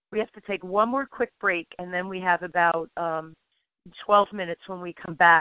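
In an ordinary speaking voice, a woman speaks at a moderate pace and medium pitch, her intonation fairly even but her loudness swinging widely. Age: 50s. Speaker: radio host. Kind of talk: radio interview.

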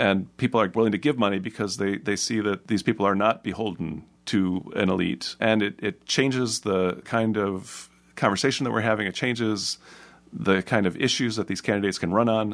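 A man with a plain, everyday voice speaks at a fairly quick pace and fairly low pitch, with ordinary pitch variation against a quiet background. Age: 50s. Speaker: media critic and editor. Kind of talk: radio interview. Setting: studio.

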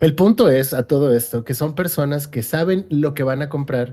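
Fairly high male voice, dark and mellow in tone, with some breathiness. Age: 30s. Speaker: gaming streamer and podcast co-host. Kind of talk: casual chat.

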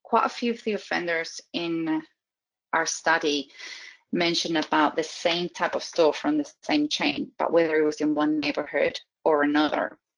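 In a Spanish accent, a woman with a fairly low voice speaks at a moderate pace. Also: ordinary pitch variation. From Spain. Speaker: criminology professor. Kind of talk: interview.

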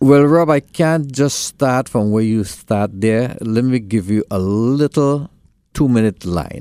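A man with a Trinidadian accent speaks at a very slow pace and medium pitch, in a dark, mellow tone with lively intonation. The recording is very clean, with a silent background. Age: 60s. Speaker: school board candidate. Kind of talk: interview. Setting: studio.

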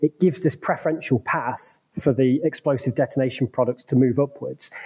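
The sound is dry and close with no echo. A man speaks with a fairly high pitch and a somewhat breathy voice. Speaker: structural engineer and university researcher. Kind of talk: interview, explanatory. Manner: hesitant, filler words.

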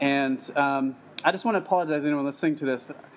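A man with a normal speaking voice talks at a fairly high pitch and a fairly quick pace, his pitch varying in an ordinary way. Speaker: podcast host. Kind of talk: interview.

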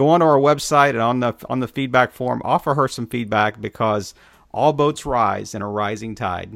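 At a moderate pace, a man with an ordinary speaking voice talks at a medium pitch with ordinary pitch variation. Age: 50s. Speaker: podcast host. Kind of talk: interview.

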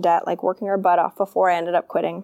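Very fast speech from a woman with an American accent, dark and mellow in tone, dry and close with no echo. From Maine, US. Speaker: business coach. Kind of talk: interview.

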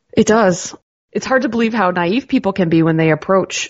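Speaking at a moderate pace, a woman uses lively intonation with vocal fry in her voice. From Canada, Ontario (Georgian Bay). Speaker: pinball parts company staffer. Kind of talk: casual interview.

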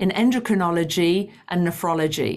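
A woman with an American accent talks at a moderate pace. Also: very clean recording, silent background. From United Kingdom. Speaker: cardiologist. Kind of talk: interview.

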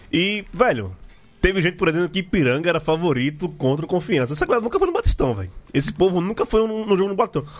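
A man's pitch swings very widely while noticeable background noise plays behind him. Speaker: podcast host. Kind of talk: casual chat. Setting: studio.

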